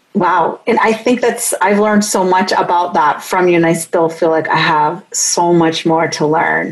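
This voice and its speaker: A woman with a fairly low pitch, very even loudness and hardly any pauses, over noticeable background noise. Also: ordinary pitch variation, moderate pace. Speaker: podcast host and researcher. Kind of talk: interview conversation.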